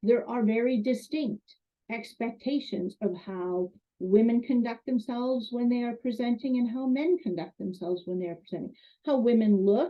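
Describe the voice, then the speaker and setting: A woman with a fairly high pitch talks at a moderate pace, her lively intonation heard in an ordinary speaking voice. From Canada. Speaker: college instructor. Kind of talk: lecture.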